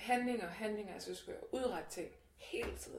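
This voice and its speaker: Speech comes at a moderate pace with audible room echo and noticeable background noise. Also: woman. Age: 20s. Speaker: activist against body shaming. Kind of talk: casual chat.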